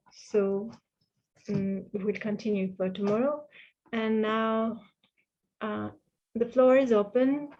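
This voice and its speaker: Taking a fairly slow pace, a woman talks at a medium pitch. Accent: French. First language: French. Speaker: interpreter for a Buddhist teacher. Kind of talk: online retreat Q&A. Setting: video call. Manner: halting.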